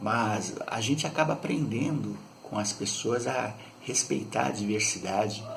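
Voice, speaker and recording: A man speaks at a fairly slow pace with a medium pitch and ordinary pitch variation. There is noticeable background noise and audible room echo. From Brazil, São Paulo city. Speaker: YouTuber. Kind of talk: casual monologue.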